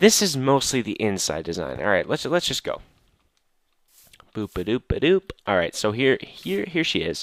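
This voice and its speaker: This voice swings very widely in pitch and carries vocal fry. It moves at a moderate pace with a dry, close sound and no echo. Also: man, medium pitch for a man, very clean recording, silent background. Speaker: gaming video creator. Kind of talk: let's play commentary. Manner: halting, many fillers and repeats.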